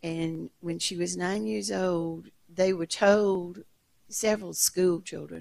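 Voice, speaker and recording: Against a quiet background, a woman with a fairly low voice speaks very slowly with lively intonation. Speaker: audience member. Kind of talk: audience question. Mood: calm, reflective storytelling. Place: stage.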